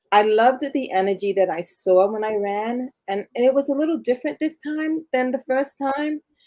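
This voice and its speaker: A woman speaks in a dark, mellow tone. Her intonation is lively and her pace moderate. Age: 60s. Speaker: amateur marathon runner, retiree. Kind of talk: interview.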